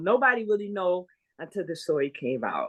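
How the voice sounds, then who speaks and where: Against a quiet background, a woman with an unremarkable speaking voice talks at medium pitch and a moderate pace. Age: 60s. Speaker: guest sharing a grief and trauma story. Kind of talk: testimony in conversation.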